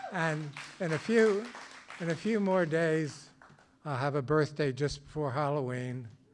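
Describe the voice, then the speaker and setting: Noticeable background noise runs under a man speaking at a fairly slow pace with long, frequent pauses. His pitch is fairly high and varies in an ordinary way. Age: 80s+. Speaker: storyteller. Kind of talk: storytelling.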